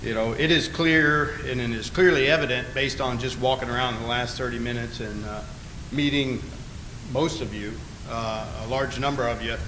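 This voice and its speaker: A man with an Alabama accent and fairly even intonation, with audible room echo and noticeable background noise. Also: moderate pace. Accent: lower Alabama. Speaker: navy admiral. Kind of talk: conference speech. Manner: hesitant, many filler words.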